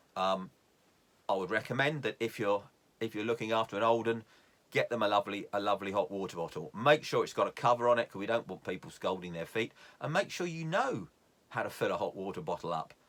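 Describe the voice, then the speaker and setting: On a very clean recording with a silent background, a man with a southern English accent talks very fast at a medium pitch with lively intonation. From London area, England. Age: 60s. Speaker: YouTube vlogger. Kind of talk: casual tutorial. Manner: hesitant, with fillers.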